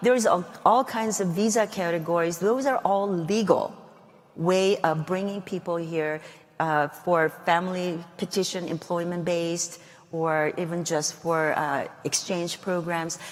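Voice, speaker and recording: At a fairly slow pace, a woman with a Korean accent talks in a fairly low pitch with ordinary pitch variation. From South Korea, then Guam. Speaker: congresswoman. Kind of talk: interview.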